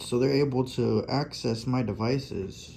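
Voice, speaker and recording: Vocal fry in a man's medium-pitched voice, very slow pace and fairly even intonation. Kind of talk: casual talk over screen recording. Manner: halting, spaced-out pauses.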